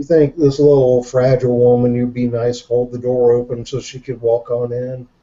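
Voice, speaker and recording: With a Southern accent, a man speaks at a fairly slow pace. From Jacksonville, Florida. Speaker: show guest, reseller. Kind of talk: casual chat.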